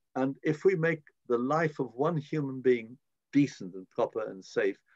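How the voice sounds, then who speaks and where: In a British accent, a man with a fairly high pitch speaks at a moderate pace, the sound dry and close with no echo. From born in Prague, raised in Britain from age six. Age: 80s+. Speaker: politician, member of the House of Lords. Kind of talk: interview answer.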